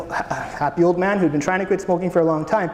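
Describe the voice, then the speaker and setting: Talking at a fairly quick pace, a man with a high voice is heard amid noticeable background noise and audible room echo. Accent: Canadian. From Canada. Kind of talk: conference talk. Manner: casual, hesitant.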